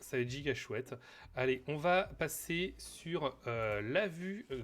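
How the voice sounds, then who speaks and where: This man's voice is fairly high in pitch and somewhat breathy. He speaks at a fairly slow pace with lively intonation. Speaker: streamer. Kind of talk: casual live stream chat. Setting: home live stream on camera. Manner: hesitant, many fillers.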